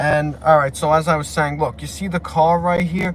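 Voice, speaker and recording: Speaking at a moderate pace, this voice has a New York accent. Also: man. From New York, Brooklyn. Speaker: YouTuber. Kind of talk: casual livestream chat. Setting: sitting in parked car. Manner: rambling, repetitive, halting.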